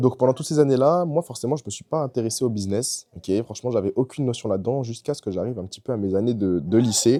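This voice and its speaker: A man talks at a very fast pace in a dark, mellow tone. His intonation is lively. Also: medium pitch for a man, hardly any pauses, dry, close sound with no echo. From France, Bordeaux. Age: 20s. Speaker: e-commerce entrepreneur and coach. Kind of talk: personal story monologue to camera. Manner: casual, with fillers and repetitions.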